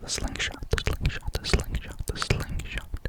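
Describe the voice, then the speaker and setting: Over noticeable background noise, a woman is whispering. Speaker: ASMR creator. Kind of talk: ASMR ramble to camera. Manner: whispered.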